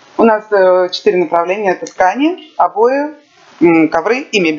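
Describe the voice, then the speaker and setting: A woman at medium pitch, lively in intonation and fairly quick in pace, with noticeable background noise. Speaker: interpreter. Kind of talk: consecutive interpretation. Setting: live event with audience. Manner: loud.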